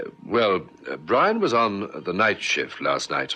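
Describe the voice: Speaking slowly, a man puts on a character voice with a low pitch and very wide pitch swings. The tone is bright and sharp with a slightly husky edge.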